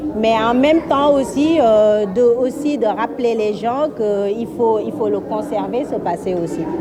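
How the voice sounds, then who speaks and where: With music in the background, a woman speaks at a very slow pace and a fairly high pitch, with hardly any pauses. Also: ordinary pitch variation. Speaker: exhibition organizer. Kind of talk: interview answer.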